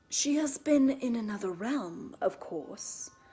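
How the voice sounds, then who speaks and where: In a put-on character voice, a woman talks at a fairly slow pace with a high pitch. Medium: read story. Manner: clear and loud.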